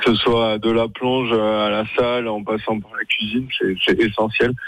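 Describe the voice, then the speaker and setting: This man has a normal speaking voice, pitched in the medium range, with fairly even intonation. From Lyon. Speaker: pastry chef and caterer. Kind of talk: radio interview. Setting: phone call.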